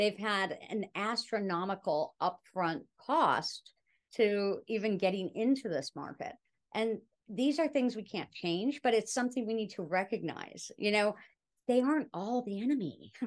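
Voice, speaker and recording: An unremarkable speaking voice moves at a fairly slow pace with lively intonation. The background is quiet. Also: woman, fairly high pitch for a woman. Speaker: cannabis advocate and speaker. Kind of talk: casual interview chat.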